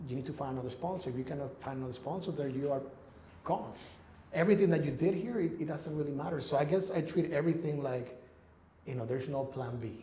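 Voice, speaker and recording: With a Spanish accent and a fairly high pitch, a man talks at a very fast pace over noticeable background noise and audible room echo. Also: ordinary pitch variation. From Ecuador. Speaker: real estate investor. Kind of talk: interview. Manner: halting.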